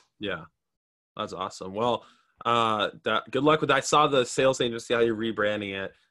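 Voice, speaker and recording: Speaking at a fairly quick pace, a man uses a normal speaking voice at a medium pitch with ordinary pitch variation. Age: young. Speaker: young entrepreneur hosting a live stream. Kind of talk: casual interview on a live stream. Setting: live video call.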